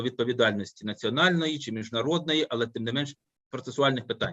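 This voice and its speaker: A man talks at a very fast pace with a Ukrainian accent. His intonation is lively. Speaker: law professor. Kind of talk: academic discussion. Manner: halting.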